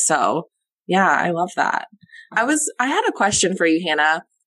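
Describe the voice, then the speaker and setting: Woman with an unremarkable speaking voice, fairly low in pitch, at a moderate pace. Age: 20s. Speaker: podcast host. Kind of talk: casual interview.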